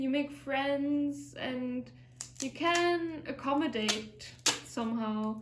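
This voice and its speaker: A woman with a German accent speaks at a high pitch amid noticeable background noise and audible room echo. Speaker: vlogger, fitness instructor. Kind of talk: casual vlog monologue. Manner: reflective, hesitant.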